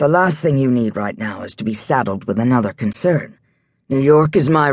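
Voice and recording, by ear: The background stays quiet. Someone is reading aloud in a natural voice.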